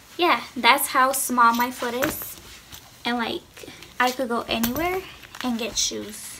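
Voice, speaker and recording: A woman with a high pitch talks at a fairly slow pace with ordinary pitch variation. She takes long, frequent pauses, and background noise is noticeable. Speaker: YouTuber. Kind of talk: casual vlog chat. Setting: home, sitting on floor filming. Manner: casual, lazy, chatty. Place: home room. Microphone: phone near.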